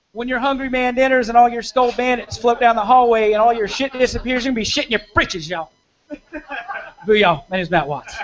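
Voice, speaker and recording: Very fast speech in a Southern US accent. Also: man, extremely high pitch for a man, ordinary pitch variation. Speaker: comedian. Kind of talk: stand-up. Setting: stage with audience.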